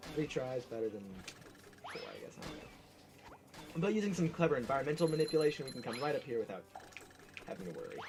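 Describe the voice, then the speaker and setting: The speech runs at a very fast pace yet has long, frequent pauses. Background noise is noticeable. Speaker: speedrunner streaming a game. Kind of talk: live gameplay commentary. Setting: live stream. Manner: casual, halting with fillers.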